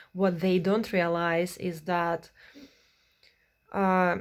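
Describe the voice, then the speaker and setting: In a non-native accent, a woman with a medium pitch speaks at a fairly slow pace on a very clean recording with a silent background. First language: not English. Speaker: vlogger. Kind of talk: advice monologue. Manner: halting, many fillers.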